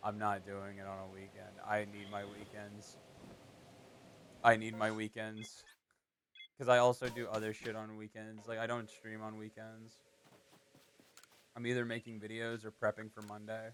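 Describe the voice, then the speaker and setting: This soft-spoken man has a fairly low pitch and a monotone, flat intonation, with big swings in loudness and long, frequent pauses. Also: moderate pace. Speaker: live streamer. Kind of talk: casual live stream chat.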